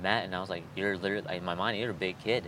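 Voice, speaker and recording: With a Californian accent, a man talks in a flat monotone, his very deep, low pitch paired with a bright, sharp tone. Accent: sounds Californian. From Chicago (Honduran family). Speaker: skateboarder. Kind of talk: casual chat.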